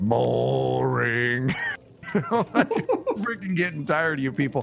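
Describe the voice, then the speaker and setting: A man's put-on character voice at medium pitch and a fairly slow pace, with clear music in the background. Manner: bored, irritated.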